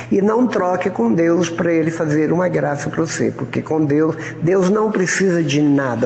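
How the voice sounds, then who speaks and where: A fairly high male voice at a moderate pace, with hardly any pauses, very even loudness and ordinary pitch variation, plus audible room echo and noticeable background noise. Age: 70s. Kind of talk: informal preaching talk. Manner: conversational, colloquial.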